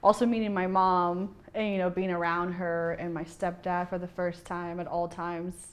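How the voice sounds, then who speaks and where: Against a quiet background, a woman with a Spanish accent speaks at a fairly low pitch. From Bolivia, then Kansas City from age eleven. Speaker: bartender. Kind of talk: interview.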